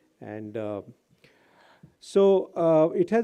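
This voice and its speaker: Against a quiet background, a man with an Indian accent speaks in a dark, mellow tone at a fairly high pitch. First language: Hindi. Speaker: senior government official. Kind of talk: formal speech. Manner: formal.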